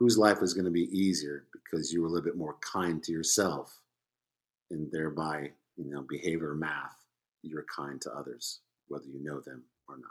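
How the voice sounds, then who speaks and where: A man with an American accent speaks at a moderate pace in a very deep, low voice with vocal fry and ordinary pitch variation. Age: 50s. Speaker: podcast guest, former Spanish teacher. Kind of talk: casual chat.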